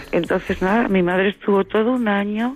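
A woman's moderately paced speech, with ordinary pitch variation, comes through noticeable background noise. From Seville, Andalusia, Spain. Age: 50s. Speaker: radio listener caller. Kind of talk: phone-in call. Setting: phone call.

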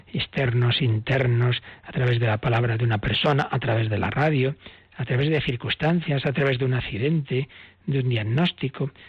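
This man talks at a moderate pace in a medium pitch, somewhat breathy, with ordinary pitch variation. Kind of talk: catechism teaching on radio.

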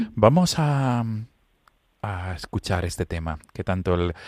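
A man talks at a fairly slow pace, and the recording is very clean with a silent background. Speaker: priest and radio host. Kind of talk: radio interview.

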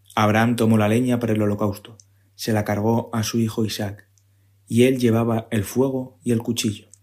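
On a very clean recording with a silent background, a man speaks at a medium pitch and moderate pace in a monotone, flat intonation. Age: 30s. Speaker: civil service exam candidate, parish community member. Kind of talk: scripture reading.

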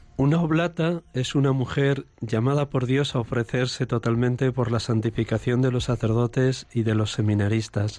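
A dark, mellow tone at a moderate pace, with hardly any pauses, ordinary pitch variation and very even loudness. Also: man, medium pitch for a man. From Spain, Segovia. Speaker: priest, confessor. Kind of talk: radio interview.

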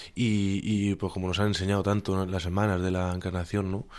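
This is a man speaking. His pitch is fairly low. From Spain, Alicante province. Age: young. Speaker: volunteer. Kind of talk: casual interview. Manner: halting.

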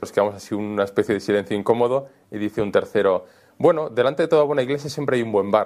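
This man speaks very fast. His mid-range pitch shows ordinary variation. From Spain (Valencia, Almería, Madrid). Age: young. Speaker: priest and author. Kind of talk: interview storytelling. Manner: casual, colloquial.

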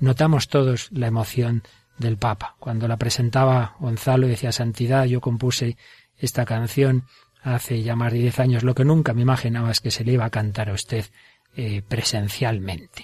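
Speaking in a Spanish accent, a man with a somewhat breathy voice talks at a medium pitch and a moderate pace with fairly even intonation. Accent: Spanish (Spain). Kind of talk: religious radio program.

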